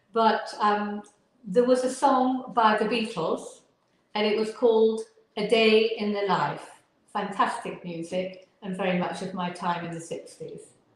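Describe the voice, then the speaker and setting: Audible room echo surrounds a woman with a fairly high pitch. She talks at a fairly slow pace with ordinary pitch variation. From northern England. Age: 70s. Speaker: Alexander teacher and physiotherapist. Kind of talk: interview.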